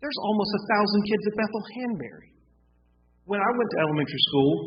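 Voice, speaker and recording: The speech comes at a very fast pace in an American accent, with very wide pitch swings. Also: man. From US South, South Carolina (Gaffney). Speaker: town council member. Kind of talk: public meeting discussion.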